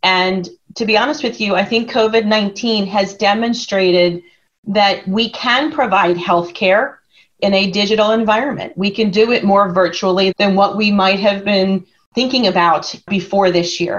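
In a plain, everyday voice with an American accent, a woman speaks at a fairly slow pace, with a medium pitch, ordinary pitch variation and very even loudness. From Philadelphia area. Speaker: consulting executive. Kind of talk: interview.

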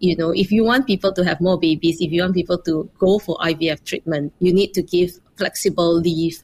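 A woman speaks in a normal speaking voice at a fairly low pitch. Her loudness stays very even, her pace is moderate, and she hardly pauses. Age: 40s. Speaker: startup founder and CEO. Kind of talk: interview.

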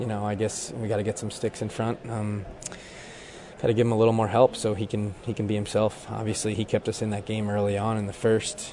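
A man speaks in monotone, flat intonation over noticeable background noise. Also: fairly low pitch for a man, fairly quick pace. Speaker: reporter. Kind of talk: locker room interview.

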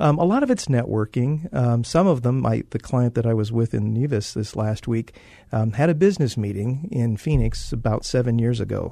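A man's dark, mellow voice at a medium pitch, with ordinary pitch variation and a fairly quick pace. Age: 60s. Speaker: photographer. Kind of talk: interview.

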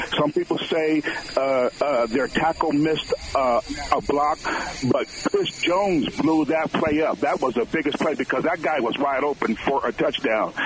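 A man with fairly high pitch and ordinary pitch variation, moderate pace, noticeable background noise. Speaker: caller. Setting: phone call.

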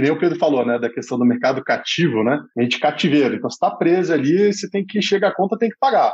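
The man's high voice moves at a very fast pace with very wide pitch swings. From Brazil, Brasília. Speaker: startup founder and CEO. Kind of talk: casual podcast interview. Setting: studio.

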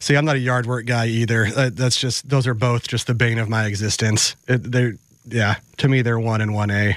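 In a normal speaking voice with an American accent, a man talks at a moderate pace, medium in pitch, with fairly even intonation. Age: 40s. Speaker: radio producer and co-host. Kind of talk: casual sports talk. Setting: studio.

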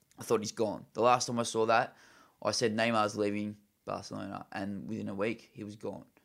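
Over a silent background in a very clean recording, a man speaks fairly quickly in a fairly low, monotone, flat voice with vocal fry and big swings in loudness. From Australia. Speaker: football podcast co-host. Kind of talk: casual chat.

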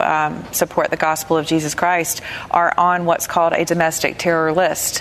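With a Southern US accent, a woman talks at a fairly low pitch and a moderate pace amid noticeable background noise. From US South. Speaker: radio host. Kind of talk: panel discussion. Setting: studio with audience.

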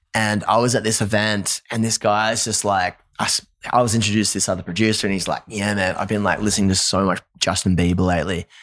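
An energetic, animated man with an Australian accent, fairly low in pitch, at a very fast pace in a very clean, silent recording. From Australia, Newcastle. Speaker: musician, former pastor. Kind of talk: casual interview chat.

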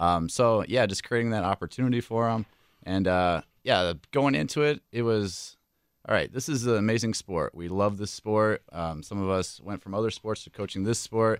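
A man with an unremarkable speaking voice, fairly low in pitch with ordinary pitch variation, speaks at a moderate pace in a dry, close sound with no echo on a very clean recording with a silent background. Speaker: high school track coach. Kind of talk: radio interview.

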